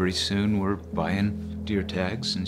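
Clear music plays behind a man as he talks. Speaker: hunter. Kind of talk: interview answer. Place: home room.

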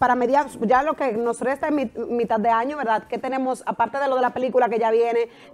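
A woman with a high pitch talks fairly quickly, her intonation fairly even. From Dominican Republic. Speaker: TV show host. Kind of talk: TV interview. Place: studio. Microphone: lapel.

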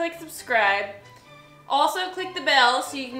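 Faint music plays in the background as a woman projects her voice with audible room echo. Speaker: makeup artist vlogger. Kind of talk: casual tutorial chat.

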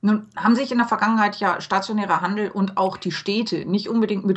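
A woman talks at a very fast pace in a somewhat breathy voice. The background is quiet. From Hamburg, Germany. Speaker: podcast host and blogger; podcast host, blogger. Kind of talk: interview. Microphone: webcam.

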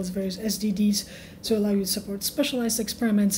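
Her voice has a medium pitch and a dark, mellow tone as the woman speaks.

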